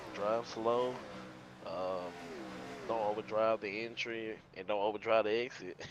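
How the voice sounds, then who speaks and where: Quiet, monotone speech from a man with a fairly low pitch, a fairly slow pace and long, frequent pauses. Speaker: sim racing driver. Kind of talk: casual interview. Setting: at home with sleeping baby.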